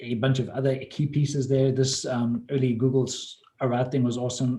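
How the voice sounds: A man's dark, mellow tone comes across at a moderate pace.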